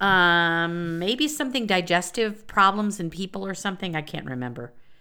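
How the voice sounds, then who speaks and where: The voice has a bright, sharp tone. The recording is very clean, with a silent background. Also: woman. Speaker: podcast co-host with master's degree in psychology. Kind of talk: casual chat about psychology history. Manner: loud outbursts.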